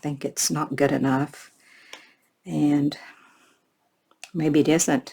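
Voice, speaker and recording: Very slowly paced, the speech holds fairly even intonation. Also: woman. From Florida. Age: 70s. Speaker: craft vlogger. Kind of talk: crafting tutorial chat. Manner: casual, chatty.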